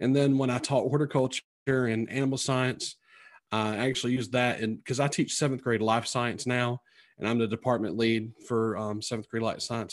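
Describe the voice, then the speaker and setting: A man with a North Carolina accent speaks at a medium pitch and a fairly quick pace, with fairly even intonation. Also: very clean recording, silent background. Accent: Southern US (North Carolina), twangy. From North Carolina, Sampson County. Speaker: teacher and author. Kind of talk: casual interview chat.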